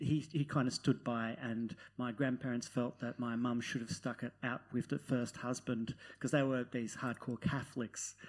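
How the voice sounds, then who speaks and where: A man with an Australian accent speaks at a medium pitch. The recording is very clean with a silent background. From Netherlands, then Newcastle, Australia. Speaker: novelist. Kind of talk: live panel discussion. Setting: stage with audience.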